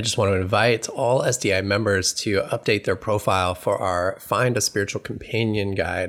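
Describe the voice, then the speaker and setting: A plain, everyday voice moves at a moderate pace with fairly even intonation and hardly any pauses. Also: man, fairly low pitch for a man. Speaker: podcast announcer. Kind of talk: scripted announcement.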